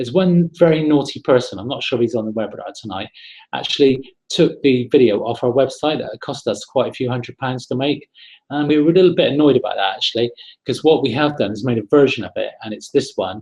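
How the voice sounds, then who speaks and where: A man's fairly high, somewhat breathy voice at a very fast pace. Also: ordinary pitch variation. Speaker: property investment trainer hosting a webinar. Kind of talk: webinar presentation. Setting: online webinar broadcast. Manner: casual, hesitant with repeated words.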